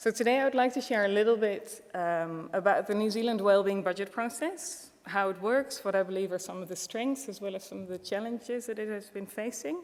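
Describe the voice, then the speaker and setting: A woman with a Dutch accent and a fairly high pitch talks at a fairly quick pace with hardly any pauses, ordinary pitch variation and big swings in loudness. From Netherlands. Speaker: wellbeing economy policy expert. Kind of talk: conference presentation.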